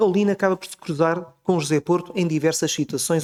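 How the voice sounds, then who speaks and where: Fairly even in intonation, a man's dark, mellow voice sits at a fairly high pitch. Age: 40s. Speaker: book author and architectural researcher. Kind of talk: book presentation talk. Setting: auditorium with audience.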